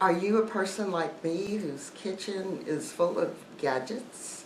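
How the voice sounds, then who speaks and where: A woman's fairly even intonation, with noticeable background noise and audible room echo. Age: 60s. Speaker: YouTuber, life coach. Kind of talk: casual vlog talk to viewers.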